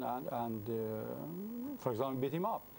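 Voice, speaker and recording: A man speaks in a Persian accent. His pitch is medium. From Iran, Mashhad. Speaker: convert sharing his testimony. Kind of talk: interview testimony. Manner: halting.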